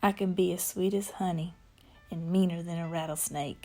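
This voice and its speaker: Background music plays as a woman at medium pitch speaks at a fairly slow pace. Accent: Southern US. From small town in the US South. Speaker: spoken word storyteller.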